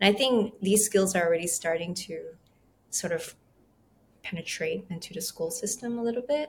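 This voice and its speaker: Somewhat breathy and medium in pitch, a woman speaks at a moderate pace with long, frequent pauses. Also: lively intonation. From Malaysia. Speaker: trauma recovery coach. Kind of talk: casual interview conversation.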